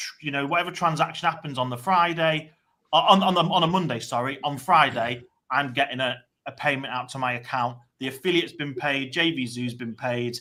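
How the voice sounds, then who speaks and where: Speaking at a fairly quick pace, a man uses a fairly high pitch and a bright, sharp tone with ordinary pitch variation. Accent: British. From England, Chester. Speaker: online marketer. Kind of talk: casual chat. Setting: live stream.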